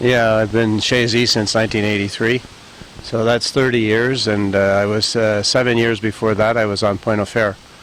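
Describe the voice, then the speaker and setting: A man's fairly low, monotone voice with flat intonation and very even loudness, at a moderate pace over noticeable background noise. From Montreal, Quebec. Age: 60s. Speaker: business owner, golf course and horse farm owner. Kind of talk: interview. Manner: hesitant, many filler words.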